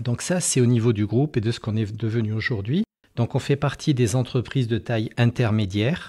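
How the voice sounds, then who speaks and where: On a very clean recording with a silent background, a man with a medium pitch and a dark, mellow, somewhat breathy tone speaks at a fairly quick pace with ordinary pitch variation. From France, Périgord (Dordogne). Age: 60s. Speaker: company founder and CEO. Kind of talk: interview. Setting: company headquarters. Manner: hesitant, many fillers.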